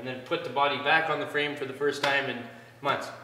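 A man's voice carries audible room echo. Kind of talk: casual tutorial chat. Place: garage. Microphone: camera far.

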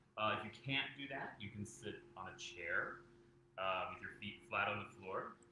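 A man is heard over noticeable background noise with audible room echo. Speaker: meditation teacher. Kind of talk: guided meditation. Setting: live video stream. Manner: calm, slow, soothing. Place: home room. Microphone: camera far.

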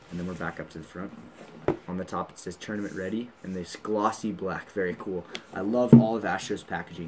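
A man talks in an animated tone at a fairly quick pace, his pitch very deep and low. Noticeable background noise can be heard. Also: big swings in loudness. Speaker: gaming YouTuber. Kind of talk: unboxing video. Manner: casual, animated.

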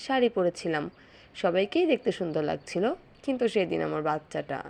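With vocal fry, a woman speaks at a medium pitch. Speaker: vlogger mother. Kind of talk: vlog narration.

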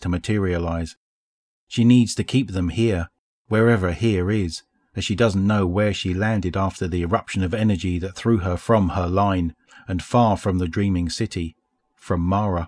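A man with a very deep, low voice speaks in a calm, dramatic tone at a moderate pace with fairly even intonation. The recording is very clean and silent behind him, with a dry, close sound and no echo. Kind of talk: audiobook reading of game lore, scripted narration. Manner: calm, measured, even narration; formal, storytelling tone with dramatic pauses.

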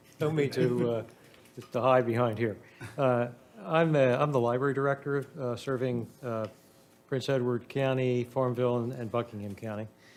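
There is noticeable background noise. A man speaks at a moderate pace and medium pitch with fairly even intonation. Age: 60s. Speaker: library director. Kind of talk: public comment at hearing. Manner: halting, many uh fillers.

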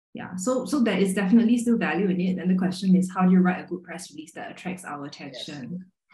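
A woman speaks at a very fast pace with hardly any pauses and ordinary pitch variation. Room echo is audible. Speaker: magazine writer and editor; journalist panelist. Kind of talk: panel discussion. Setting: video call. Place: home room. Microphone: video call.

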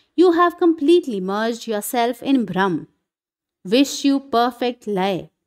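A woman with a fairly high pitch speaks with very wide pitch swings. The recording is very clean, with a silent background. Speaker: spiritual reader / satsang speaker. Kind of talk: reading aloud a scripture commentary (Ashtavakra Gita) in Hindi with English lines. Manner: formal, measured, devotional reading.

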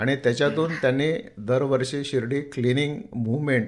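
At medium pitch, a man speaks in an ordinary speaking voice. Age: 60s. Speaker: temple trust chairman and builder. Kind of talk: radio interview.

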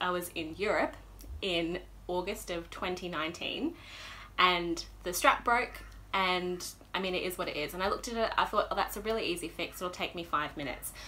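A woman speaks with an Australian accent in a bright, sharp tone. Her pitch varies in an ordinary way over light background noise. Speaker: knitting podcaster. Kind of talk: casual chat. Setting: home room, windows shut. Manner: animated. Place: home room. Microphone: phone near.

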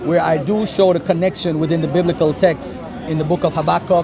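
Crowd noise sits in the background of this dry recording with no echo. A man with an American accent speaks high in pitch, his intonation fairly even. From US, New York. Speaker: author; author debating religion. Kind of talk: street debate. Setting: outdoors. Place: garden. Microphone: phone near.

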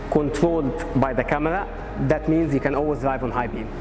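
Music plays in the background. Over it, a man speaks at a moderate pace with fairly even intonation. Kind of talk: product presentation. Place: shop. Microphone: lapel.

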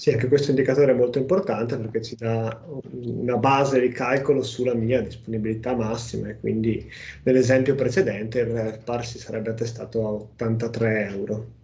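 A man at a moderate pace, fairly even in intonation, with big swings in loudness. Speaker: software company presenter; presenter. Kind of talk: webinar presentation. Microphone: video call.

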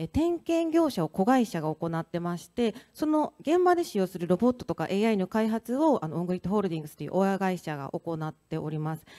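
Against a quiet background, a woman with a dark, mellow tone speaks with very wide pitch swings. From Osaka, Japan. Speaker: company founder and CEO. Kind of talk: panel discussion at a conference. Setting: stage with audience. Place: stage. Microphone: handheld.

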